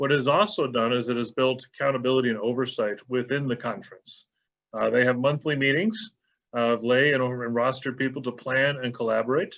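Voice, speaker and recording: A man with an American accent at a medium pitch, fairly quick in pace, with fairly even intonation. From Texas. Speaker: bishop. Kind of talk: panel presentation.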